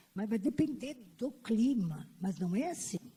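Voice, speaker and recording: Somewhat breathy and dark, mellow in tone, a woman speaks very slowly with ordinary pitch variation. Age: old. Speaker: panelist at an LGBT conference. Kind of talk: personal testimony at a panel. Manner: halting, with repetitions.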